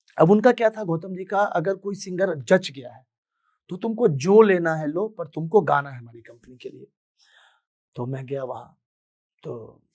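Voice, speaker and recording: A somewhat breathy man's voice with lively intonation. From Bihar, Madhubani district (Mithila). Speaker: singer. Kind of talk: motivational talk, personal story.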